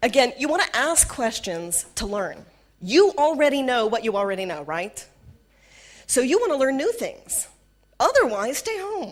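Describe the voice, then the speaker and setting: A woman with a Southern US accent speaks in an animated tone at a high pitch. Her pitch swings very widely. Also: moderate pace. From US South. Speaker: corporate trainer. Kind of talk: workshop talk.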